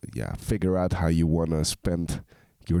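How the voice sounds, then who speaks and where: On a very clean recording with a silent background, a man speaks fairly slowly in a dark, mellow tone with fairly even intonation. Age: 20s. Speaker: music reaction youtuber. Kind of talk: casual reaction commentary. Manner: halting, many fillers.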